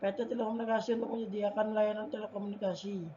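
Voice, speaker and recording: A quiet woman's voice, fairly high in pitch, with fairly even intonation. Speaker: university student. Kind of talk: class presentation. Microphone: faulty mic, voice may be quiet.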